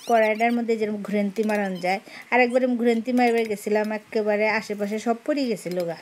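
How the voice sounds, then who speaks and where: Fairly even intonation in a fairly high-pitched female voice. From Bangladesh, Jamalpur/Mymensingh region; Bangladesh. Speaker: vlogger. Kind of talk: casual cooking vlog in regional dialect. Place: kitchen. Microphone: phone near.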